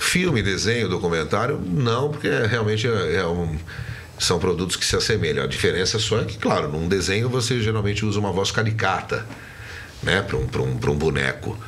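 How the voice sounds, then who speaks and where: The speaker uses lively intonation at a moderate pace, with noticeable background noise and audible room echo. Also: man, fairly low pitch for a man. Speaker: voice actor. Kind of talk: interview.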